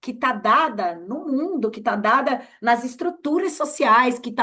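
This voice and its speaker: Projecting her raised voice, a woman speaks at a fairly slow pace with a high pitch, lively intonation and a bright, sharp tone. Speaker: journalist and researcher. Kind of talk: casual interview chat. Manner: halting, many fillers and repeats.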